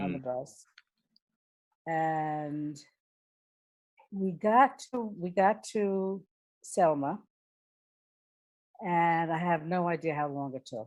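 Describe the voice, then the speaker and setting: In an American accent, a woman with a fairly low voice speaks at a very slow pace, using lively intonation and long, frequent pauses. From New York, the Bronx. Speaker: former professional dancer. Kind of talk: oral history interview answer.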